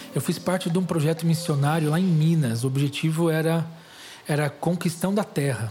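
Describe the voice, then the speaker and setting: A man has a plain, everyday voice at a fairly high pitch. He keeps a moderate pace with fairly even intonation. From Greater São Paulo (São Caetano), Brazil. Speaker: missionary and author. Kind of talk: testimony interview.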